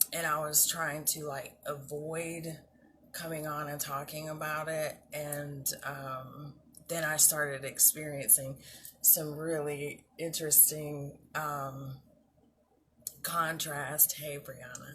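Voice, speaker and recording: A woman speaks very slowly with a very deep, low voice in a monotone, flat manner. Audible room echo surrounds her. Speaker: self-love coach / vlogger. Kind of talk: casual talk-to-camera advice. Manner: hesitant, many fillers.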